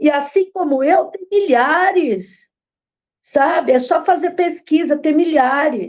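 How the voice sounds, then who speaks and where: A woman with a high pitch and lively intonation talks at a very slow pace. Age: 60s. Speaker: former franchise owner. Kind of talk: interview testimony. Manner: animated.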